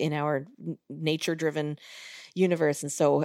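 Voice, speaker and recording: On a very clean recording with a silent background, a woman speaks at a moderate pace with vocal fry, and the sound is dry and close with no echo. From US, Long Island, New York. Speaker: music educator and band director. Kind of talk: interview conversation.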